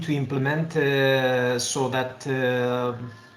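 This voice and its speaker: Amid noticeable background noise and audible room echo, a man with a Romanian accent speaks at a fairly high pitch. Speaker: public authority official. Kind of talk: webinar question. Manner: halting.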